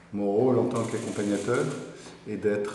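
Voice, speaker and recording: Audible room echo surrounds a man who speaks at a fairly low pitch in a monotone, flat way. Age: 60s. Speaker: company director and mentor. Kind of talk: interview testimony.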